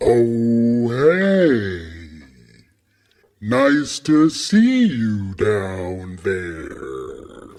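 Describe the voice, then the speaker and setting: A put-on character voice. It speaks at a very slow pace. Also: man, medium pitch for a man. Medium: read story. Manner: relaxed, genial.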